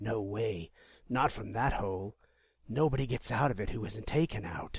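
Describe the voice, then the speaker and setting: In a raspy, put-on character voice, a man speaks at a medium pitch. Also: moderate pace. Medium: read story. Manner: grumbling.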